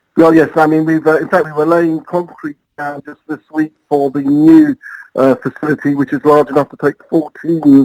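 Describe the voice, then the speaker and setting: A fairly high-pitched man with an English accent at a moderate pace, fairly even intonation and big swings in loudness, in a dry, close sound with no echo. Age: 60s. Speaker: airport marketing head. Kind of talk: interview.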